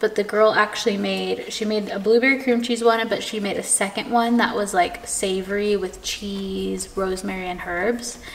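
Over light background noise, a woman speaks at a moderate pace with fairly even intonation and hardly any pauses. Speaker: lifestyle vlogger. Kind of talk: casual vlog chat. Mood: cheerful, relaxed. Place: kitchen. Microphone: camera far.

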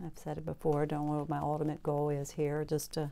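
Relaxed in tone, a woman speaks with a very deep, low pitch and a dark, mellow tone. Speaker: painter. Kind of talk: tutorial. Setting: home studio, video. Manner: casual, relaxed.

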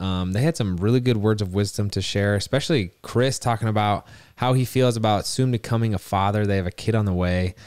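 Over a quiet background, a man talks at a fairly quick pace with hardly any pauses. His fairly low voice has ordinary pitch variation and a dry sound with no echo. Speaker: podcast co-host. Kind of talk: podcast intro. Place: home room. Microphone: studio mic.

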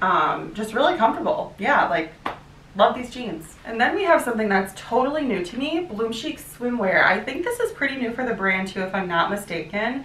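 An American woman speaks at a fairly high pitch, her voice swinging very widely in pitch. Light background noise and audible room echo are present. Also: moderate pace. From US Midwest. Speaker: fashion YouTuber. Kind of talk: try-on haul vlog. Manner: animated. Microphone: camera far.

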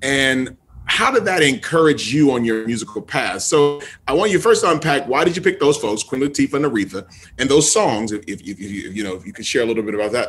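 With an American accent, the speaker talks at a fairly quick pace with very wide pitch swings. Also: man. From US Midwest. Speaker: podcast host. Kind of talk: interview. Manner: animated.

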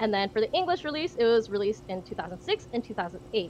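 A woman speaks with very wide pitch swings. Noticeable background noise runs behind her. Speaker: panel moderator. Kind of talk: live-streamed convention panel discussion. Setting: video call. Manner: giggly.

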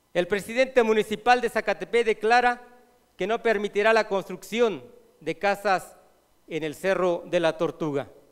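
A man speaks in a high voice against a quiet background. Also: ordinary pitch variation, moderate pace. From Mexico, Morelos; Mexico. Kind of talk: reading a prepared report aloud. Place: hall. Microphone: podium.

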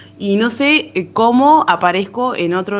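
A woman's lively intonation in a Rioplatense accent. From Argentina, La Plata. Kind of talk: personal storytelling. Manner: halting, many fillers.

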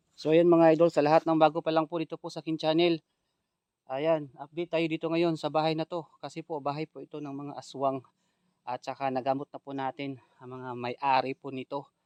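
A man's fairly high, monotone voice at a fairly quick pace, with flat intonation, big swings in loudness, and a dry, close sound with no echo against a quiet background. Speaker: ghost hunter vlogger. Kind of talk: vlog narration.

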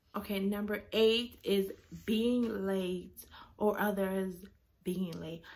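A woman speaks in a somewhat breathy voice. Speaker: vlogger. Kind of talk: casual vlog chat. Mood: annoyed, animated ranting. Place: home room. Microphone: phone near.

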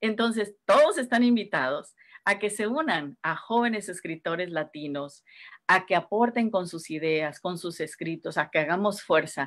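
Against a quiet background, a woman talks at a fairly slow pace. Her medium pitch carries lively intonation. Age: 50s. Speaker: writer and community organizer; guest. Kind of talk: casual interview. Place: home room. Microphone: video call.

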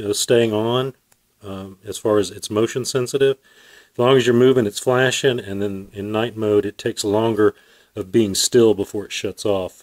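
A man's fairly low voice at a moderate pace, with fairly even intonation and a quiet background. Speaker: product reviewer. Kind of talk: casual product review. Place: garage. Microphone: phone near.

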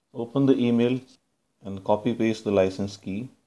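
Fairly low-pitched man's voice with a Punjabi accent, dark and mellow in tone, with fairly even intonation at a moderate pace. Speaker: computer science lecturer and software developer. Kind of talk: software tutorial.

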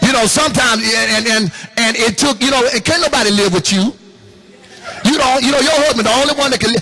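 Over background music, a raised, projected voice speaks in an animated tone at a very fast pace, with very even loudness and long, frequent pauses. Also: man, extremely high pitch for a man, ordinary pitch variation. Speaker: pastor. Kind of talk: sermon. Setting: church with congregation. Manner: animated, call-and-response preaching with laughs and exhortation. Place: hall. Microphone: handheld.

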